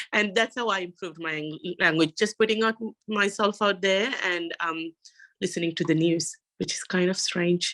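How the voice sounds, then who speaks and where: A woman's bright, sharp voice with a non-native accent and ordinary pitch variation, dry and close with no echo, in a very clean recording over a silent background. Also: medium pitch for a woman, moderate pace. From Sri Lanka. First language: not English. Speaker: university student panelist. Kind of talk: panel discussion.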